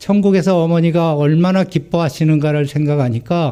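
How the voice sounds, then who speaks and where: A man speaks at a moderate pace. His voice is fairly high-pitched, with a dark, mellow tone. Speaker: missionary. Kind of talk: sermon. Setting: church.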